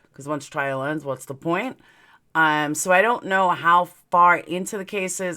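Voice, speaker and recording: In a New York accent, a woman with a fairly low pitch and a bright, sharp tone speaks at a fairly slow pace with ordinary pitch variation, on a very clean recording with a silent background. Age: 40s. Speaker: true crime YouTuber. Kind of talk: casual live stream chat. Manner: slurred at times from aligners.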